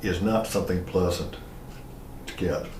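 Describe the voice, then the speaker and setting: A man with an American accent speaks over noticeable background noise, and a room echo is audible. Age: 70s. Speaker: historian. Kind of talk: lecture.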